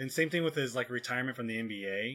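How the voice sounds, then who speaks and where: Music plays in the background. Over it, a man speaks. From southern Oregon. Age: 30s. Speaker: podcast host. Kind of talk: casual chat.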